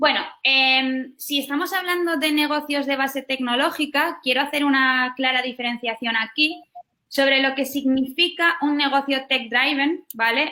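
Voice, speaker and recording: High-pitched, bright and sharp, a woman's raised, projected voice in a Spanish accent, at a fairly slow pace with very even loudness and fairly even intonation. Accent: Spanish (Spain). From Basque Country, northern Spain. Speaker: startup founder. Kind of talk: webinar talk.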